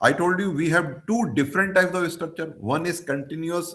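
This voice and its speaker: A man speaks at a moderate pace in a high pitch. Room echo is audible. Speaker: professor of mechanical engineering. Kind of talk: lecture. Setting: video call. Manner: halting.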